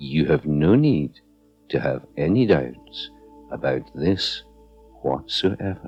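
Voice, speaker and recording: Over music in the background, a man with a Scottish accent speaks in a calm tone at a very slow pace, his voice very deep and low with lively intonation and long, frequent pauses. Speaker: hypnotherapist. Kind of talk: guided meditation / hypnotherapy narration. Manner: slow, calm.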